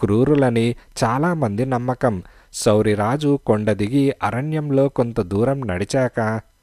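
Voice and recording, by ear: A natural-voiced read-aloud, pitch varying in a normal way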